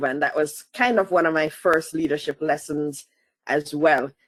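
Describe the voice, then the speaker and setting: A woman speaks with a slight Jamaican accent. Her pitch is very deep and low. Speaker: asset management consultant. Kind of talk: interview.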